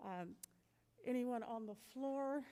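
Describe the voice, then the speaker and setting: A woman's dark, mellow tone. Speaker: school board president. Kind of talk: public meeting chairing.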